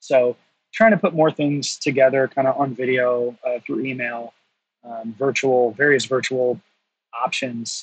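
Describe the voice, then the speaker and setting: A normal speaking voice from a man with an American accent, medium in pitch, at a fairly slow pace with fairly even intonation, in a dry, close sound with no echo. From North Carolina. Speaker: brewery education director. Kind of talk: casual interview.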